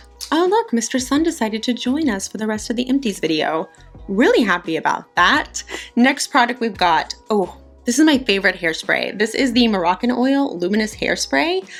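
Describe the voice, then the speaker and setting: Over background music, a woman with a fairly high pitch speaks in an upbeat tone, her pitch swinging very widely. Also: moderate pace. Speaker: beauty YouTuber. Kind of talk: casual talk to camera.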